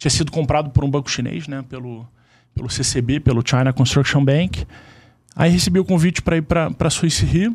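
A man's fairly high, somewhat breathy voice at a fairly quick pace with ordinary pitch variation. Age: 40s. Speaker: insurance sales executive, former corporate banker. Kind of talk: casual chat.

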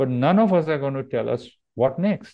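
The speaker is a man with an Indian accent. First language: Marathi. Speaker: yoga teacher. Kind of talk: interview.

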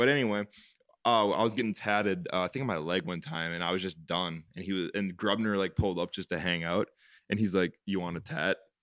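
Delivered at a fairly quick pace, this man's a plain, everyday voice sits at a fairly low pitch with ordinary pitch variation. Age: 20s. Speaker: property management company co-founder. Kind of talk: casual chat.

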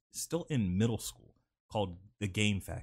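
A somewhat breathy man with an American accent. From US South (South Carolina). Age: 20s. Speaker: podcast host. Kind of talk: casual chat.

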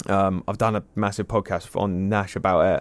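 With an English accent, the voice has a dry, close sound with no echo. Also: man. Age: young. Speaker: carp angler and fishing media director. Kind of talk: casual chat. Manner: animated.

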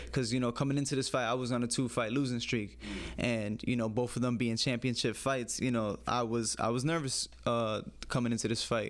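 A man talks at a fairly quick pace and medium pitch. His intonation is monotone and flat, and his loudness stays very even. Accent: American. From US Northeast, the Bronx, New York City. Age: young. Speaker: amateur MMA fighter. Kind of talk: casual interview.

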